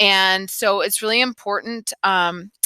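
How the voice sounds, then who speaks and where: In an American accent, a woman speaks at a medium pitch with a bright, sharp tone and ordinary pitch variation. The sound is dry and close with no echo, on a very clean recording with a silent background. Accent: Southern, comes out at times. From US South, North Carolina. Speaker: high school biology teacher. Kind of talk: recorded class introduction. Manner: casual, many filler ums.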